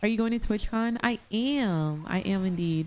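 A woman with an American accent, animated in tone and at a moderate pace. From US South, Atlanta, Georgia. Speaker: gaming streamer. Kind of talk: live gameplay commentary and chat reading. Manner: casual, animated. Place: home room.

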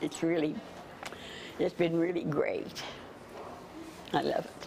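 A woman with an American accent speaks at a fairly slow pace over noticeable background noise. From Ohio, USA. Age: 80s+. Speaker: traveler interviewed for news. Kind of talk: interview answer. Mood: warm, moved, enthusiastic. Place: home room. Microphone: lapel.

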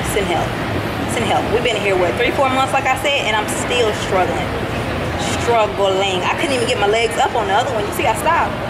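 Over crowd noise in the background, a woman speaks at a fairly quick pace with ordinary pitch variation. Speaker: vlogger. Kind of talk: casual vlog chat.

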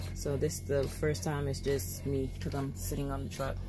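A woman speaks at a moderate pace in a very deep, low pitch. Clear music is heard in the background. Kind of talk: casual vlog chat. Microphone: phone near.

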